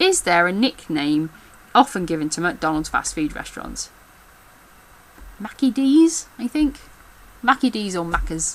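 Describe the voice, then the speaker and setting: Fairly slow speech in an English Midlands accent, with very wide pitch swings and long, frequent pauses. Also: woman, medium pitch for a woman. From England. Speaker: backstage theatre worker. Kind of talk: casual talk to camera.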